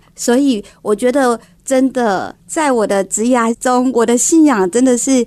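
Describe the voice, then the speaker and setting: The speaker has a dark, mellow tone and a Taiwanese accent, talking at a fairly slow pace with ordinary pitch variation and very even loudness. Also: woman, high pitch for a woman. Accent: Taiwanese Mandarin. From Taiwan, Kaohsiung. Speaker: home decor entrepreneur. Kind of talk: radio interview.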